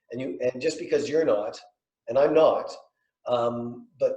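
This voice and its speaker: Room echo is audible as a man talks at a moderate speed. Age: 60s. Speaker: real estate developer. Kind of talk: panel discussion. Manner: halting.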